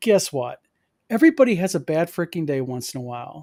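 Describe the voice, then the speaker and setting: Speaking with an American accent at a fairly quick pace, a man uses a high pitch and very wide pitch swings, on a very clean recording with a silent background and a dry, close sound with no echo. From Michigan, US. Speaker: game publisher and convention organizer. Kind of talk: casual chat.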